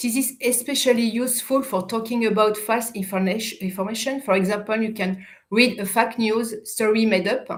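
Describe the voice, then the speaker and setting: A woman speaks at a moderate pace with hardly any pauses. Her fairly high voice is somewhat breathy, with fairly even intonation. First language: French. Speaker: youth education project manager. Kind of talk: prepared interview answers. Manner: halting, self-correcting.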